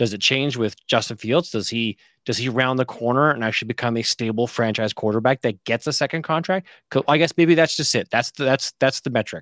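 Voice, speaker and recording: A plain, everyday voice: a man at medium pitch, fairly quick pace, dry, close sound with no echo, and a very clean recording with a silent background. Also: ordinary pitch variation. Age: 40s. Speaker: fantasy football podcast host. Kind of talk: casual chat.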